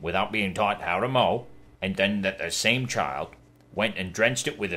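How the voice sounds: A passage is read out. The reading voice is natural.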